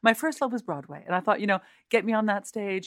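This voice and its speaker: A woman in a plain, everyday voice, ordinary pitch variation, dry, close sound with no echo and a very clean recording with a silent background. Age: 50s. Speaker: opera singer. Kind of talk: interview.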